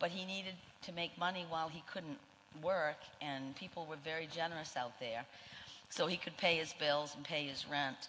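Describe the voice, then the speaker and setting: A woman's very deep, low voice in a Maine accent, bright and sharp in tone, at a moderate pace with fairly even intonation. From Maine, Portland. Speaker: nurse, union leader. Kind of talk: speech.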